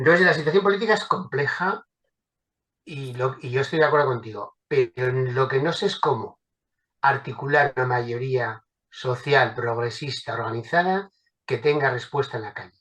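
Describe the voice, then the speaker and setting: A man's medium-pitched voice keeps a moderate pace and ordinary pitch variation. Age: 60s. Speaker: political activist. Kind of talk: panel discussion. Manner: hesitant, with many fillers.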